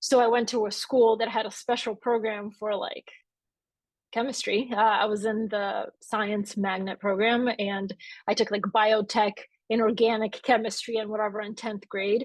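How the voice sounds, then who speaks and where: Against a quiet background, a woman talks at a moderate pace in a fairly high pitch with flat, monotone intonation. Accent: Bulgarian. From Bulgaria, moved to Atlanta, Georgia at eight. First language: Bulgarian. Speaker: author and newsletter founder. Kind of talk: live interview on stage.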